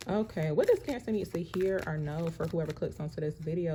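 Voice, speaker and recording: A soft-spoken woman, fairly low and somewhat breathy, with a dark, mellow tone, fairly even intonation and a fairly quick pace. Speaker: tarot card reader. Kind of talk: tarot reading monologue. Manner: soft-spoken, viewers say she talks too low.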